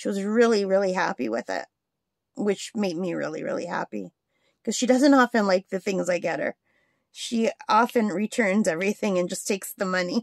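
A woman's fairly quick speech with vocal fry and ordinary pitch variation, dry with no echo against a quiet background. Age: 50s. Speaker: crafting YouTuber. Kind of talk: casual chat. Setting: home craft desk. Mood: relaxed, chatty. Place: home room. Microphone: phone near.

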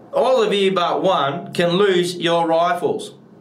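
Speaking at a very slow pace with fairly even intonation, a man with a high pitch is heard in audible room echo. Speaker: actor at an audition. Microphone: webcam.

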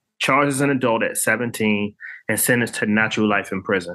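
An American accent marks this man's medium-pitched, bright, sharp voice. He keeps a moderate pace and fairly even intonation over a quiet background. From Washington, D.C. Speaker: artist and author. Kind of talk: interview.

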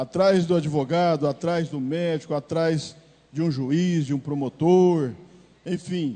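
Speaking at a very slow pace, a man uses a dark, mellow tone and ordinary pitch variation. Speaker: city councillor. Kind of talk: formal political speech. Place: hall. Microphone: handheld.

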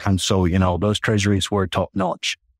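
A man speaks with a Finnish accent. The recording is very clean, with a silent background. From Finland. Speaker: corporate treasurer. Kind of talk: interview. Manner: halting.

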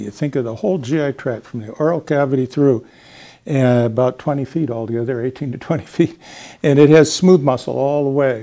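Speaking with a dark, mellow tone, a man keeps a moderate pace and ordinary pitch variation. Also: quiet background. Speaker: anatomy expert. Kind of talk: educational explanation. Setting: studio. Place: classroom. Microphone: lapel.

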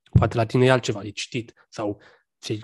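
Against a quiet background, a man speaks in a somewhat breathy, monotone, flat manner. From Romania, Bucharest. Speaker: podcast host. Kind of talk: casual interview chat. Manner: halting, many fillers. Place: home room. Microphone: studio mic.

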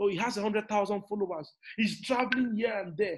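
A man speaks in an animated tone. The background is quiet. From Nigeria. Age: 30s. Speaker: motivational speaker and business coach; motivational speaker, business coach. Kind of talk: motivational talk. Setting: online live session. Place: home room. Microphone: webcam.

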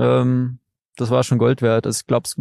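Recorded dry and close with no echo over a quiet background, a man talks at medium pitch. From Saxony, Dresden. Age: 20s. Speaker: trail runner. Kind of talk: casual interview. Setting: outdoors by a lake.

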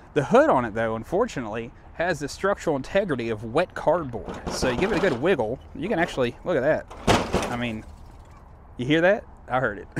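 A man speaks fairly quickly in a dry sound with no echo, with noticeable background noise behind him. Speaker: van owner vlogger. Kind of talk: casual vlog chat. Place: street. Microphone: phone near.

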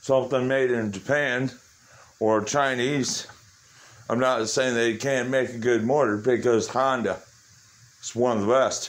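A man's monotone, flat intonation at a fairly slow pace, broken by long, frequent pauses. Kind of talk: casual vlog chat. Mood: nostalgic, reflective. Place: garage. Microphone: phone near.

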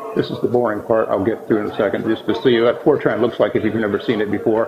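Ordinary pitch variation from a man over noticeable background noise. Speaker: presenter. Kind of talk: technical talk. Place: hall. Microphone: camera far.

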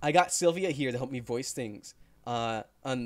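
An unforced reading voice carries the text.

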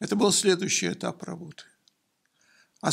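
A man does the talking. Behind him, all is quiet. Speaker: engineering professor. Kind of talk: interview. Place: office. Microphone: studio mic.

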